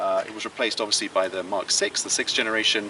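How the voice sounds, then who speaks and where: Very fast speech comes through against noticeable background noise. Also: man. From England. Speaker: car reviewer. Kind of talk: car review.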